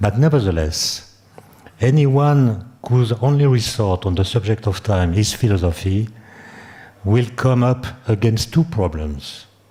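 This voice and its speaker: A man speaks in a French accent at medium pitch. His intonation is lively and his loudness very even. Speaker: conference speaker, physicist or philosopher. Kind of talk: academic lecture. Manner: halting, with fillers and self-repetition.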